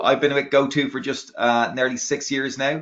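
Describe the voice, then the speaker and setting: A man with an Irish accent at a moderate pace, his intonation fairly even. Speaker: product marketing executive. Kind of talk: webinar presentation. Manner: halting.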